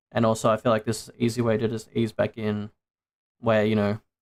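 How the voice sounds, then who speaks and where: This man talks with an Australian accent at a medium pitch. His intonation stays monotone and flat. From Australia, Sydney area. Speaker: VTuber streamer. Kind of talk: casual livestream chat. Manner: casual, many fillers.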